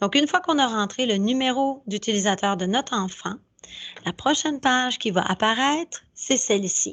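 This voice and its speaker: Her intonation lively and her tempo fairly slow, a woman talks in an unremarkable speaking voice. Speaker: school staff presenting to parents. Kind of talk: tutorial.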